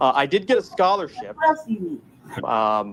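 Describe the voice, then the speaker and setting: A man with an American accent at a moderate pace, against noticeable background noise. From Dubai, Middle East. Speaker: caller. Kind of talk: casual chat.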